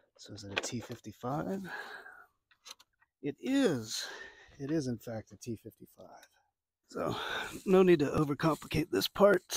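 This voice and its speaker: A man with an American accent talks at a moderate pace in a fairly high voice with vocal fry, very wide pitch swings, big swings in loudness and long, frequent pauses, in a dry, close sound with no echo. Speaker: DIY car repair youtuber. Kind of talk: tutorial. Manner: casual, talking to himself while working.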